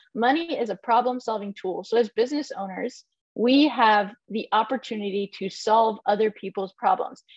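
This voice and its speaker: A woman speaks in a plain, everyday voice, fairly high in pitch with ordinary pitch variation, at a moderate pace. The sound is dry and close, with no echo. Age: 30s. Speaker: maker and content creator. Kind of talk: casual chat. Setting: video call from her barn office.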